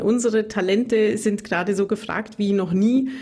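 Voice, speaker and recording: With a Bavarian Swabian accent, a woman talks at a fairly high pitch and ordinary pitch variation. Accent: Bavarian Swabian, rolled R. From Bavarian Swabia (Augsburg area). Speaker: radio reporter and trainer. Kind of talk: casual interview chat. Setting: remote call.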